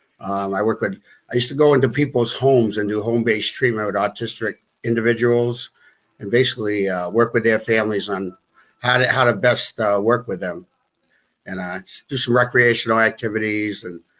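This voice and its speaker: With a Boston accent, a man speaks at a medium pitch and a fairly quick pace, his intonation fairly even, in a very clean recording with a silent background. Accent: Boston-area New England. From US Northeast, New Bedford, Massachusetts. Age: 50s. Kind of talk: interview. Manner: halting.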